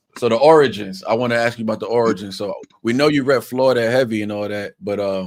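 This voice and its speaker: A man with a New York accent at a very fast pace. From New York, Long Island. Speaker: podcast host. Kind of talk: casual interview chat. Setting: live stream.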